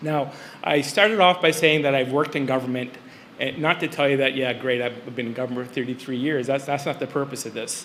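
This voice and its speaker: A man's fairly high voice at a very fast pace with fairly even intonation. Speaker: senior civil servant. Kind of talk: conference speech.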